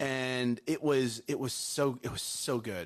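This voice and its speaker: The man's tone is animated as he talks. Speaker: morning show co-host. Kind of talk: casual chat. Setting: studio. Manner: loud.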